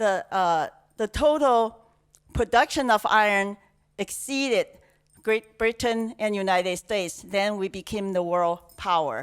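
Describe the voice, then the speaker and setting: In a very clean recording with a silent background and a dry, close sound with no echo, a woman with a Chinese accent speaks at a medium pitch, fairly slowly, with ordinary pitch variation. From China. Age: 60s. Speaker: conference speaker. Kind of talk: talk. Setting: stage with audience. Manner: halting, many fillers.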